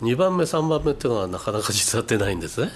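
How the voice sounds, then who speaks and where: The voice moves at a fairly quick pace, its pitch swinging very widely. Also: man. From Japan, Fukushima. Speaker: company president, software developer. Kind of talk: radio interview.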